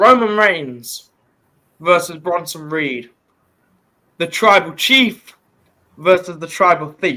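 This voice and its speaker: The tone is bright and sharp, with lively intonation. Delivery is very slow, broken by long, frequent pauses. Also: man, high pitch for a man. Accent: British. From Britain. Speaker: wrestling podcast host. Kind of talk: casual chat.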